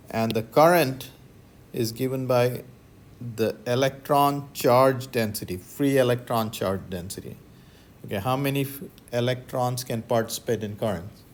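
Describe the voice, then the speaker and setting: A normal speaking voice from a man at medium pitch, moderately paced, with ordinary pitch variation. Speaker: physics professor. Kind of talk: lecture.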